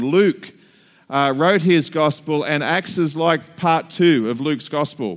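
This man has a fairly high pitch. He speaks in an Australian accent. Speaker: pastor. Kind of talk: sermon.

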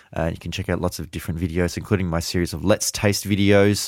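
A man with an Australian accent and a very deep, low pitch talks with fairly even intonation on a very clean recording with a silent background. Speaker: wine podcast host. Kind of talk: interview. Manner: many fillers, hesitant.

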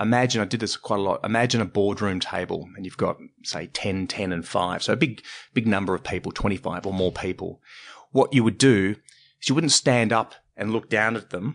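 Against a quiet background, a man with an Australian accent speaks at a fairly quick pace in a fairly low pitch. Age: 40s. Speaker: stand-up comedy teacher and presentation trainer. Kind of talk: casual interview conversation.

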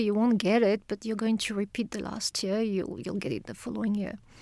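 With a French accent, a woman speaks at a fairly high pitch in a dry, close sound with no echo. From France. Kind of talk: interview. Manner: halting.

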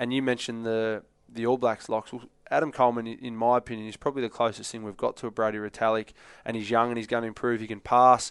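This man talks very fast in an Australian accent, his intonation flat and monotone. His loudness swings widely against a quiet background. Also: medium pitch for a man. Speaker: former rugby player, pundit. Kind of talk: casual chat.

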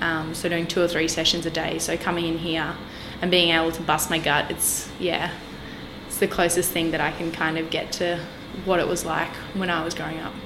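Amid noticeable background noise and audible room echo, a woman with a fairly low pitch speaks with an Australian accent at a moderate pace in a monotone, flat intonation. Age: 20s. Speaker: dietetics student and personal trainer. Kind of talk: casual interview chat.

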